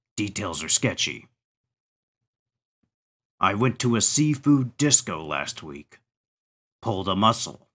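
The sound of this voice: In a cartoonish character voice, a man speaks at a medium pitch and a fairly slow pace, with very wide pitch swings and long, frequent pauses, on a very clean recording with a silent background.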